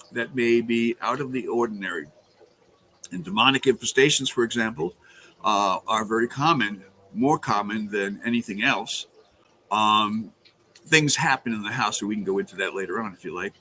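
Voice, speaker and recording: A man with a slight New York accent, medium pitch and a bright, sharp tone, at a moderate pace with long, frequent pauses and big swings in loudness. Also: ordinary pitch variation. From Brooklyn, New York. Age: 70s. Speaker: exorcist priest. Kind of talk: interview. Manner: hesitant, many fillers.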